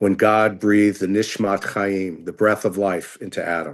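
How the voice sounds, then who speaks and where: Against a quiet background, a plain, everyday voice speaks at a fairly slow pace. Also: man. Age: 60s. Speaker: rabbi. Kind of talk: interview explanation.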